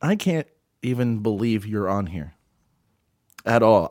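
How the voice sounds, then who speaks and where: Pitched at a medium level, a man's voice moves through very wide pitch swings. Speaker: radio host. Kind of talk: comedic improvised radio show banter. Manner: halting, hesitant, filler-heavy.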